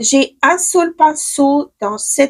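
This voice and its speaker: A woman speaks at a very slow pace in a high voice. The sound is dry and close, with no echo. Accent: Ukrainian. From Ukraine. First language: Ukrainian (speaking French). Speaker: beauty stylist, makeup vlogger. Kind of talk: makeup tutorial. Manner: hesitant, many fillers and restarts.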